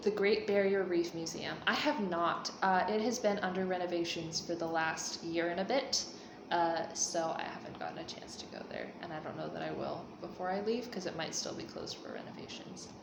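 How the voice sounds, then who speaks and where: A woman with an American accent at a medium pitch, moderate pace and hardly any pauses, big swings in loudness, audible room echo and noticeable background noise. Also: ordinary pitch variation. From United States. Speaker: vlogger. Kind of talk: casual Q&A vlog. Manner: casual, many fillers.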